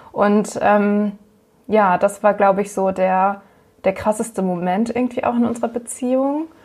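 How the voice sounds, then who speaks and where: A woman talks at a moderate pace in an ordinary speaking voice. Her medium-pitched delivery has fairly even intonation. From northern Germany, Hamburg. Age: 20s. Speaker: nurse living with MS. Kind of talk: interview, personal testimony.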